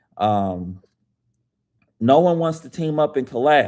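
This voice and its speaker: An animated man's voice on a very clean recording with a silent background. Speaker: author. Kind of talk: live stream chat. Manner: loud; casual, animated.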